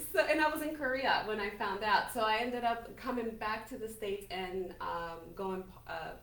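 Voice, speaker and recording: Speaking at a moderate pace with hardly any pauses, a woman with a fairly high voice and ordinary pitch variation is heard through noticeable background noise and audible room echo. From Colombia, Cartagena. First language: Spanish. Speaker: small business owner. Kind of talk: interview.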